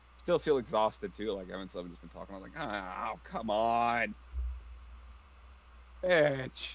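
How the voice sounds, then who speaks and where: Putting on a gruff character voice at a fairly low pitch, a man speaks at a fairly slow pace with long, frequent pauses over clear background noise. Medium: actual play. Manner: gruff, blunt, profane.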